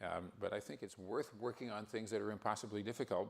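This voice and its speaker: A man's fairly low, fairly quick voice with vocal fry, an American accent and monotone, flat intonation. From US Northeast, northwestern New Jersey. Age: 70s. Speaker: scientist. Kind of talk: lecture.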